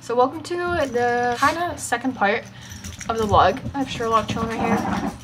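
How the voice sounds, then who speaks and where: A woman's voice at a moderate pace, with ordinary pitch variation and noticeable background noise. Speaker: vlogger. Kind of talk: casual vlog chat. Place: home room. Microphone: camera far.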